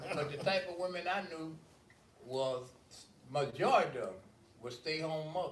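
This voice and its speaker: Over noticeable background noise and audible room echo, a fairly high-pitched man speaks at a moderate pace with lively intonation and long, frequent pauses. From US South, Birmingham, Alabama. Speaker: panel guest. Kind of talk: casual group discussion.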